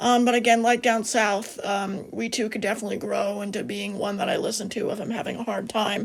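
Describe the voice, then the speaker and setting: Fairly quick in pace, the speech carries noticeable vocal fry. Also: woman. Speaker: music vlogger. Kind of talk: casual video review. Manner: hesitant, many fillers; lowered, quiet voice.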